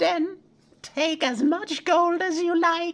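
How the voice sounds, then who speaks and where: A squeaky put-on character voice at an extremely high pitch and a very slow pace. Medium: read story. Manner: sly, wheedling.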